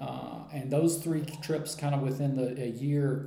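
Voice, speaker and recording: A man with an American accent speaks at a fairly slow pace, medium in pitch with fairly even intonation, amid noticeable background noise and audible room echo. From US. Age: 40s. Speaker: writer and traveler. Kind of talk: interview. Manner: halting, with many fillers.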